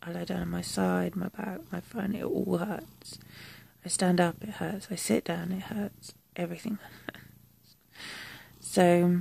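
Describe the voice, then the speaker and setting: A woman speaks at a fairly slow pace with long, frequent pauses and big swings in loudness, in a dry sound with no echo. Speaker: vlogger. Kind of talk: casual vlog chat. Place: home room. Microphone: phone near.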